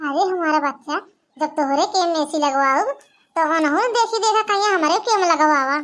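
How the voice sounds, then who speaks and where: A woman performs a cartoonish character voice at an extremely high pitch. She keeps a moderate pace, very even loudness and ordinary pitch variation. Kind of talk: comic village cartoon voice.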